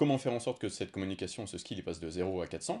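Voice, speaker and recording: A man talks at a fairly quick pace in a very deep, low voice with lively intonation over a quiet background. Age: 30s. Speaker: podcast host, fitness coach. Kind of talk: casual chat.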